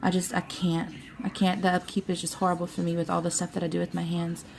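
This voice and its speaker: A woman in a Louisiana accent, somewhat breathy with a dark, mellow tone, medium pitch, monotone, flat intonation and a fairly quick pace. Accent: Louisiana Southern. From Louisiana, US South. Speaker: beauty vlogger. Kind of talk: product review. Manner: halting, filler-heavy; casual, chatty.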